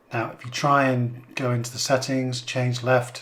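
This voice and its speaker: A man with an English accent speaks at a moderate pace in a medium pitch, his intonation flat and monotone. Noticeable background noise runs under the recording. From England. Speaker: car reviewer. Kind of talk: product review.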